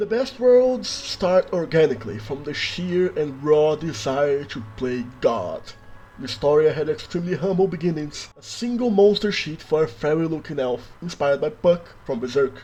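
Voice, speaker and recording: With a Brazilian accent, a man talks at a moderate pace in a fairly high pitch, his voice making very wide pitch swings. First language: Brazilian Portuguese. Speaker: worldbuilding YouTuber. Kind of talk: scripted narration.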